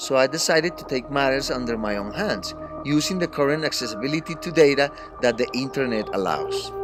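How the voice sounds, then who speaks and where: A man speaks in a strong Colombian accent at a fairly quick pace. Music plays in the background. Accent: thick Colombian Spanish. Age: 50s. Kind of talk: read-aloud class assignment narration.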